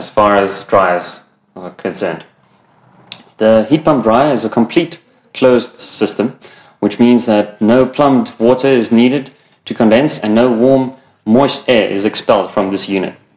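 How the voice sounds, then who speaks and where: Audible room echo follows a man as he talks at a fairly slow pace with ordinary pitch variation. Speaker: product trainer. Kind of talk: training presentation. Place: shop.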